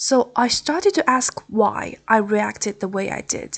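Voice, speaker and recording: The voice has a Chinese accent and ordinary pitch variation. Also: woman. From Taiwan. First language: Mandarin Chinese. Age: 20s. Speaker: podcast host. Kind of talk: podcast monologue. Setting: hotel room.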